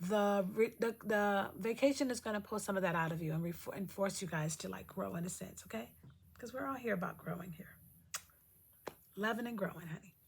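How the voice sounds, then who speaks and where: With lively intonation and a somewhat breathy quality, a woman speaks at a medium pitch and a fairly quick pace. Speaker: lifestyle vlogger. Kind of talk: casual vlog talk. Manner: fast.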